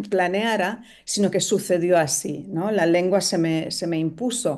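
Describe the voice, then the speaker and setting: The voice has a Romanian accent, a dark, mellow tone and vocal fry, with fairly even intonation. It moves at a moderate pace over a quiet background. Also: woman. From Romania (Transylvania). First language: Romanian (speaking Spanish). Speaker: novelist and poet. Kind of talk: interview. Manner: halting, many hesitations.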